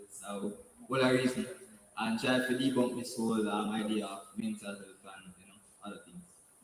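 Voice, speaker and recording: Amid noticeable background noise and audible room echo, a man at medium pitch speaks with fairly even intonation and big swings in loudness. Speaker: student leader. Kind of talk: panel introduction. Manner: fast.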